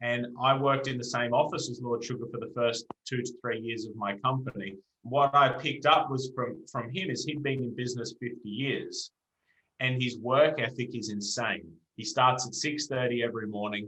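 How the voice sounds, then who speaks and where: A man with an Australian accent, a bright, sharp tone, medium pitch and fairly even intonation. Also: moderate pace. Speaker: entrepreneur. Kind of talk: interview.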